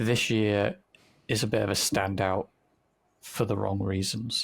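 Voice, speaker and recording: In a British accent, a man speaks slowly-ish at a fairly low pitch, his intonation monotone and flat, his loudness very even, with vocal fry. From Britain. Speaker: podcast co-host. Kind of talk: casual chat.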